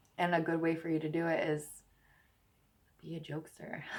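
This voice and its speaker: A woman mumbles in a fairly low pitch. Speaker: tarot reader. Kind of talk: tarot reading monologue. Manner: mumbling; casual, chatty.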